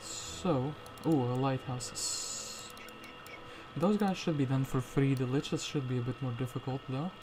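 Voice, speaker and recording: Over music in the background, a man of medium pitch talks at a fairly slow pace with ordinary pitch variation. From Latvia. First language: Latvian. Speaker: gaming streamer. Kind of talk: live gameplay commentary. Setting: live stream. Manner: casual, thinking aloud.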